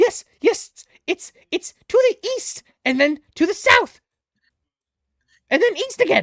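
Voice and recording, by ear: In a put-on, squeaky character voice at an extremely high pitch, the speaker goes at a fairly slow pace with long, frequent pauses.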